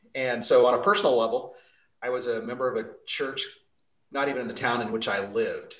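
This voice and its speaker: There is audible room echo as a man with an American accent speaks at a fairly quick pace. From Utah (Salt Lake City). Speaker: pastor. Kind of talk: interview.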